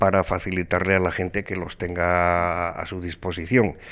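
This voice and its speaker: The man's moderately paced speech comes through on a very clean recording, the background silent. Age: 70s. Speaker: author. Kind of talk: interview. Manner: hesitant, with fillers.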